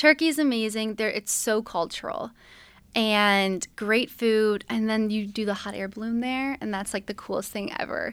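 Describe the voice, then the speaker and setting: In an American accent, a woman with a normal speaking voice talks at a moderate pace and a fairly high pitch with fairly even intonation, on a very clean recording with a silent background. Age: 20s. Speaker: travel vlogger. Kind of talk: casual interview chat.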